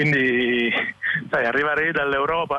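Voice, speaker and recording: A man keeps a moderate pace and fairly even intonation while noticeable background noise runs underneath. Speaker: musician. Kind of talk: interview.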